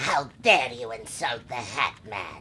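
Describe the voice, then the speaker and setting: A man performs a cartoonish character voice over clear background noise. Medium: puppet.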